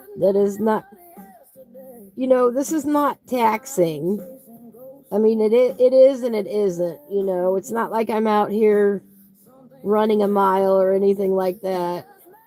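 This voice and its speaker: A woman speaks in a relaxed tone with ordinary pitch variation and long, frequent pauses. Noticeable background noise can be heard. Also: medium pitch for a woman, fairly slow pace. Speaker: coloring livestream host. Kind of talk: casual chat while coloring. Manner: relaxed, slow-paced.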